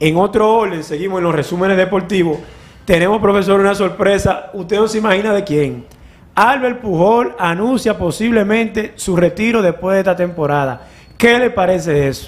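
A man's high voice with ordinary pitch variation, at a moderate pace. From Dominican Republic, Cibao; Dominican Republic. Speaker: sports show host, former athlete; sports show host. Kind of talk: sports news roundup. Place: studio. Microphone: studio mic.

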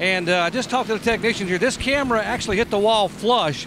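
Over noticeable background noise, a man talks very fast in a dry sound with no echo. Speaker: pit road reporter. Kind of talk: live race commentary. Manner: fast, urgent pit-reporting.

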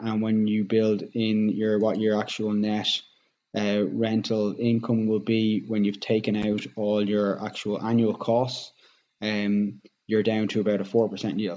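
Very slowly, a man with an Irish accent speaks in a fairly low voice with a dark, mellow tone. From Ireland. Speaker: real estate agent. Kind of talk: tutorial. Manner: hesitant with fillers. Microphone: webcam.

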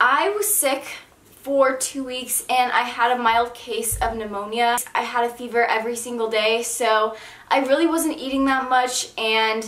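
A woman's high voice at a fairly slow pace, with ordinary pitch variation and audible room echo. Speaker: lifestyle vlogger. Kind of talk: casual vlog chat. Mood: calm, explaining disclaimer. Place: home room.

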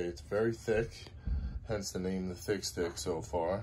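A man's very deep, low voice, somewhat breathy, at a fairly slow pace over light background noise. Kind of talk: casual vlog chat. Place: garage. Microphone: phone near.

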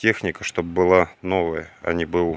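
A man speaks at a fairly slow pace. The sound is dry with no echo. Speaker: vintage tractor enthusiast vlogger; owner showing tractor. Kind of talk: casual video walkthrough. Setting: outdoors, plane flying overhead at one point. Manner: unhurried, many filler words. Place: garden. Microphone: phone near.

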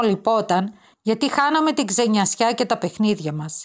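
A woman's ordinary speaking voice, lively intonation and a moderate pace, on a very clean recording with a silent background. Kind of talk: literary audiobook reading of a children's school story, read aloud. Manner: gentle, warm, wistful storytelling pace with soft emotion.

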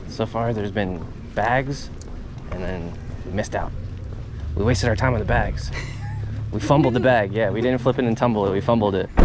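A man with a fairly low pitch speaks at a fairly quick pace with ordinary pitch variation. Noticeable background noise is present, and the sound is dry with no echo. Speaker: golf club reseller vlogger. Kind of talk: casual vlog chat. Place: street. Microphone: phone near.

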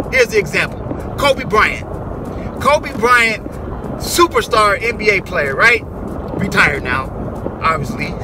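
Noticeable background noise surrounds a dry sound with no echo. A man talks at a fairly slow pace, leaving long, frequent pauses. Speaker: music producer and video creator. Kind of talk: short motivational pep talk to camera, direct address. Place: car. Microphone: phone near.

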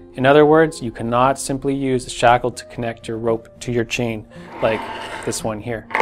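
A man with ordinary pitch variation and faint music in the background. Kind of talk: tutorial. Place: shop.

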